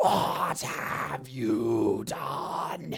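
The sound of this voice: Using a put-on character voice, a man speaks with vocal fry at a medium pitch. His pace is very slow and his intonation lively.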